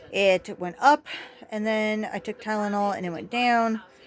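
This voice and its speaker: Against noticeable background noise, a woman of medium pitch talks at a fairly slow pace with ordinary pitch variation. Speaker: mental health vlogger. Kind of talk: casual talk to camera.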